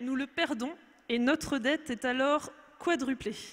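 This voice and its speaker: In a very clean recording with a silent background, a woman speaks at a very slow pace with a high pitch and ordinary pitch variation. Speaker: testimony speaker, mother. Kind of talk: testimony.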